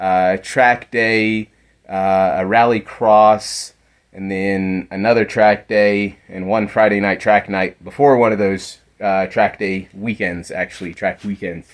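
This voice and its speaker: A very slow, flat, monotone male voice, fairly low, with an American accent, over a quiet background. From United States. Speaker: amateur rally car builder. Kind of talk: video walkthrough. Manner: casual, some hesitations.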